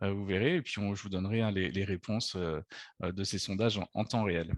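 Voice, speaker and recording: The speech moves at a fairly quick pace against a quiet background, with a dry, close sound and no echo. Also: man, fairly low pitch for a man, fairly even intonation. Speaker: travel agency director. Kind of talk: webinar presentation. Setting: video conference. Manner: hesitant, many fillers.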